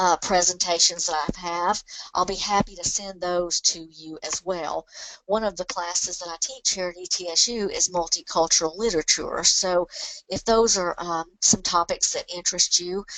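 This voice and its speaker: Against noticeable background noise yet in a dry, close sound with no echo, a woman speaks at a moderate pace with fairly even intonation and big swings in loudness. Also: medium pitch for a woman. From Alabama. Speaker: professor of library science. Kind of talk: webinar presentation. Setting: online webinar. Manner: hesitant, many fillers.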